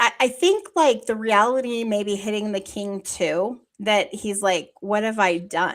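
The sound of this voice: The reading is delivered without any strain.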